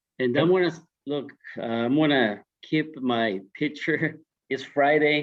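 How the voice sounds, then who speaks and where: A man talks at a fairly slow pace in a fairly high pitch. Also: ordinary pitch variation. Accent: non-native. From born abroad, came to US at seventeen. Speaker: social services professional. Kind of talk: panel discussion.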